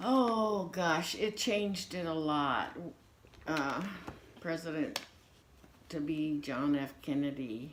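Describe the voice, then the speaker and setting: With audible room echo, the voice moves at a very slow pace in an American accent, its intonation lively. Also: woman, very deep, low pitch for a woman. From United States. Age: 60s. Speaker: grandmother interviewed for family history. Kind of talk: casual interview.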